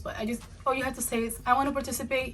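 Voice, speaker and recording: A woman talking at a very fast pace over noticeable background noise. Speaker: beauty youtuber. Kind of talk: casual vlog talk to camera.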